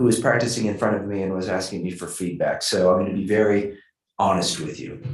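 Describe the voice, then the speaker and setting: The man's voice has a somewhat breathy quality. He keeps up a fairly quick pace. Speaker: judge. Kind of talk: feedback talk. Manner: fast talker.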